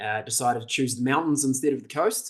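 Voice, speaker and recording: A man with a fairly high voice speaks fairly quickly, his pitch varying in an ordinary way. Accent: New Zealand. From New Zealand, Auckland. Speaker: leadership development presenter. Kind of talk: webinar presentation. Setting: video call. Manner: casual, conversational.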